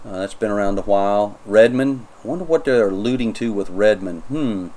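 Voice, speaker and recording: Speaking with a North Carolina accent, a man uses a fairly low pitch and ordinary pitch variation. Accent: North Carolina accent (self-noted). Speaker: Linux YouTuber, software reviewer. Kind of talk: tutorial, software review walkthrough. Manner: casual, hesitant with fillers.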